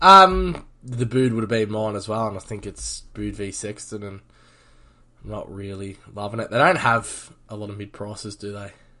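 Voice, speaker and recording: In an Australian accent, a man speaks at a moderate pace with a fairly low pitch and ordinary pitch variation. His tone is bright and sharp, with big swings in loudness, over a quiet background. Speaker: fantasy football podcast host. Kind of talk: casual chat.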